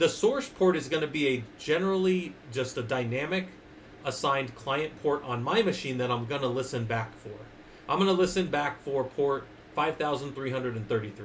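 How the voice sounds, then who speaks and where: A man at a moderate pace, fairly high in pitch, with ordinary pitch variation and audible room echo. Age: 40s. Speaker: Linux user group presenter, IT instructor. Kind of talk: technical lecture on livestream. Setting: livestream on Discord and Twitch.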